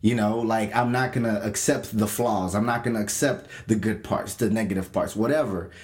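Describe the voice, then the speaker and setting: This man talks at a fairly quick pace with hardly any pauses, in a medium pitch and fairly even intonation. His loudness stays very even, and room echo is audible. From Kenya. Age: young. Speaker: podcast co-host, youth pastor. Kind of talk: casual chat.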